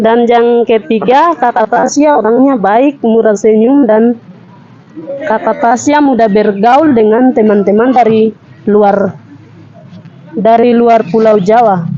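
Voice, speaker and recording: Over noticeable background noise, a woman with a fairly high pitch speaks at a very slow pace, with very even loudness and ordinary pitch variation. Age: 20s. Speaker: student, training participant. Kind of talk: reading aloud a written self-introduction. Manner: halting.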